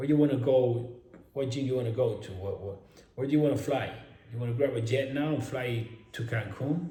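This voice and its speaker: A man's somewhat breathy, dark and mellow voice at medium pitch, fairly quick, with audible room echo. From Spain. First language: Spanish. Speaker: fitness influencer and online coach. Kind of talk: casual vlog monologue. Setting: at home in a mansion. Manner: animated.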